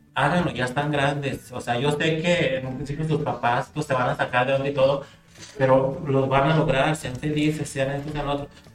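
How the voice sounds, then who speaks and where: A man's fairly high-pitched voice at a moderate pace, monotone and flat, over noticeable background noise. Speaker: drag queen and pageant coordinator. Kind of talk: casual chat.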